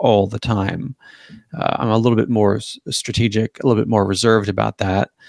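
A man with a Canadian accent and an unremarkable speaking voice, fairly low in pitch, in a dry, close sound with no echo. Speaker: political commentator and author. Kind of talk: casual interview chat.

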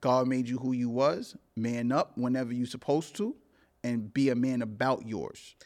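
On a very clean recording with a silent background, a man of medium pitch speaks at a moderate pace with fairly even intonation. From New York City (Brooklyn/Queens). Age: 40s. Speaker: podcast guest. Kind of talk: casual chat. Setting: studio.

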